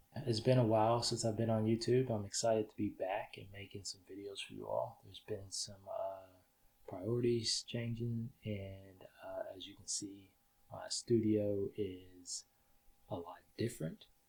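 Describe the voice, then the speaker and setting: A man speaks quietly at a fairly slow pace. His loudness swings widely. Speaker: filmmaker and camera gear YouTuber. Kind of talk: tutorial. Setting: home studio. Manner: quiet, low audio.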